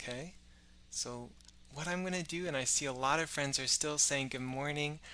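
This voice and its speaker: The voice is soft-spoken with a bright, sharp tone. It moves at a moderate pace with ordinary pitch variation. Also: man. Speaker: science educator. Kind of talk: live-stream kids' science show. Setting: live stream on social media. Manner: friendly, addresses kids warmly.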